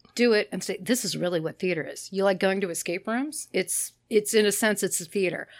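A woman with an ordinary speaking voice, medium pitch and ordinary pitch variation, hardly any pauses, in a very clean recording with a silent background. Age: 30s. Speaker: actor and director. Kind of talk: casual chat. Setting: studio.

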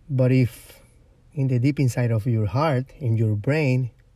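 In a Spanish accent, a man speaks at a fairly slow pace with a medium pitch and ordinary pitch variation. His tone is dark and mellow, and somewhat breathy. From Ecuador. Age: 30s. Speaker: podcast host. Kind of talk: casual monologue. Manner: rambling with many fillers.

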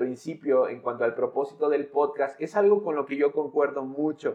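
Pitched fairly high for a man, this male speaker talks at a middling rate, his pitch moving in an ordinary way. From Mexico, San Luis Potosí. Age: 20s. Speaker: pastor. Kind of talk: casual chat.

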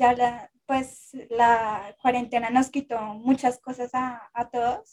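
A woman with a high pitch talks very slowly and monotonously, with hardly any pauses. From Colombia. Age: 20s. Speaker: content creator. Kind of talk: casual chat.

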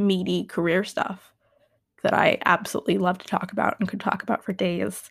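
A woman of medium pitch speaks at a moderate pace with vocal fry. Her intonation stays fairly even. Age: 20s. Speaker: podcast host. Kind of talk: solo unedited monologue. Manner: loud; halting.

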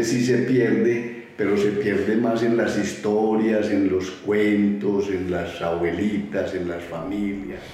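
Someone with an Antioquian accent talks at a fairly slow pace with ordinary pitch variation. The recording has audible room echo and noticeable background noise. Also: man. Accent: Colombian paisa (Antioquia). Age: 60s. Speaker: toy collector, museum founder. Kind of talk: interview testimony. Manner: halting, many fillers.

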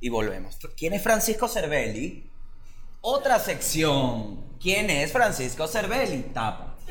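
At a very slow pace, a man with a high pitch makes very wide pitch swings, and audible room echo is present. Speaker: podcast co-host, comedian. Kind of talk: casual comedic chat.

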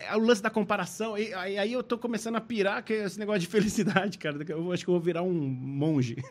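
A man with a high pitch talks at a very fast pace. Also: ordinary pitch variation, hardly any pauses. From Brazil, São Paulo. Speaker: ventriloquist. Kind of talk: casual chat.

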